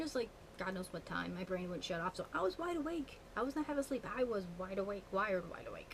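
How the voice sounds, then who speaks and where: A somewhat breathy woman's voice of medium pitch, with ordinary pitch variation. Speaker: witchcraft vlogger. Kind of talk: casual vlog monologue. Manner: fast; animated.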